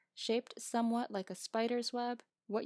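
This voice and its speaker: At a moderate pace, the speech carries fairly even intonation in a dry, close recording with no echo. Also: woman. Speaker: amateur audiobook narrator. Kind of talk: audiobook reading.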